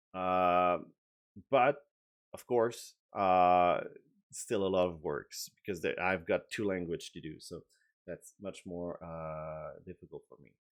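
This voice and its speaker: In a French accent, a man speaks very slowly with a very deep, low pitch. His loudness swings widely, while his pitch varies in an ordinary way. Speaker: game designer. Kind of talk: video update and tutorial. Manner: halting, many filler words.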